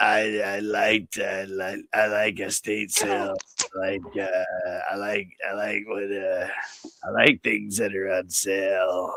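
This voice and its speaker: A raspy, put-on character voice from a man, fairly low in pitch and delivered at a fairly slow pace. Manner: mocking, exaggerated.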